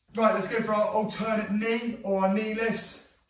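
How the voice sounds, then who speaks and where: A man talks fairly quickly at a high pitch. His intonation is monotone and flat, with audible room echo. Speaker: fitness instructor. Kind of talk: workout instruction with counting. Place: home room. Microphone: camera far.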